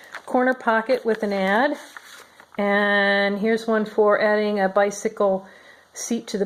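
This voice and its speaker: The speaker talks at a fairly slow pace. It is a plain, everyday voice. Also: woman. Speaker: crafter showing handmade journals. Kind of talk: product flip-through tutorial. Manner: casual, with frequent fillers.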